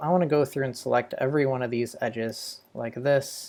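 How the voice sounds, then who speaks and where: Dark, mellow tone from a man at medium pitch, fairly even intonation, on a very clean recording with a silent background. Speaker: 3D modeling instructor. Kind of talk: tutorial. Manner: casual.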